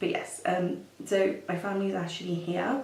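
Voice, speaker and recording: Fairly slow speech from a woman, amid noticeable background noise and audible room echo. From Kenya, Nairobi. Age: 30s. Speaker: makeup artist and beauty vlogger. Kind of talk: casual chat. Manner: hesitant, many fillers.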